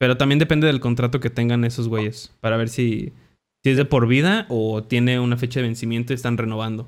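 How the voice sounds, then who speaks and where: Speaking fairly quickly with a Mexican accent, a man keeps a medium pitch and fairly even intonation. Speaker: podcast host. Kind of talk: casual chat.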